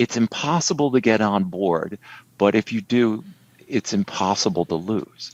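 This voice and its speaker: Recorded dry and close with no echo, a man uses a normal speaking voice at a fairly low pitch, with lively intonation and a moderate pace. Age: 60s. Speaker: trading educator. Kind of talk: casual interview.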